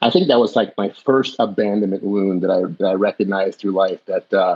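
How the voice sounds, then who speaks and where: Fairly even intonation and a fairly quick pace carry a plain, everyday voice with an American accent. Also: man, fairly low pitch for a man. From Jamaica, then Southern California. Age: 60s. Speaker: podcast guest, health coach. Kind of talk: personal life story in interview.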